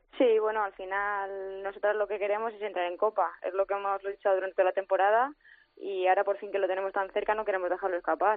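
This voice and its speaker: Her pace is very fast, and the woman's pitch sits in the medium range. Her intonation is monotone and flat. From Madrid, Spain. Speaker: footballer. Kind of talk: phone interview. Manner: hesitant, many fillers.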